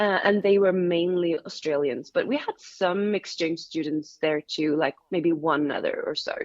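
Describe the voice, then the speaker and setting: A woman with a fairly low pitch speaks at a moderate pace with hardly any pauses and ordinary pitch variation. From Sweden, Gothenburg. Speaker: engineering graduate, former event manager. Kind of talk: interview. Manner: hesitant, many fillers and repeats.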